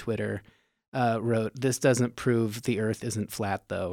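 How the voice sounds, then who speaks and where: With an American accent, a man speaks at a medium pitch in an ordinary speaking voice. His intonation is fairly even. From Nevada. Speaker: comedian. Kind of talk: casual chat.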